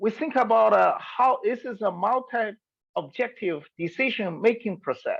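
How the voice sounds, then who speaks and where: A woman with a Chinese accent, vocal fry and very wide pitch swings. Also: quiet background. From China. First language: Mandarin Chinese. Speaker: environmental researcher. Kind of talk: webinar lecture. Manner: halting, many hesitations.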